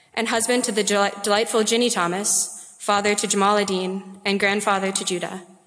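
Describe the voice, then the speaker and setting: Talking at a fairly quick pace, a woman uses a medium pitch and monotone, flat intonation. Noticeable background noise and audible room echo are present. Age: 20s. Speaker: student. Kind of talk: speaker introduction. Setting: lecture hall podium.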